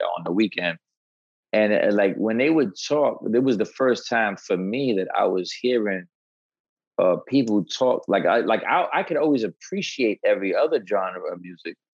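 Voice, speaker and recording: A man speaks in a New York accent. His pace is moderate. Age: 40s. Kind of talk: casual interview chat.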